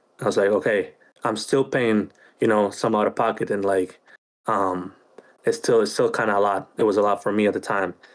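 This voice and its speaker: Over a very clean recording with a silent background, a man with a Spanish accent talks at a fairly quick pace. His fairly low voice is monotone and flat, with very even loudness. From Chile. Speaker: podcast co-host, army officer. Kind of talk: casual chat. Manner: hesitant, many fillers and repeats.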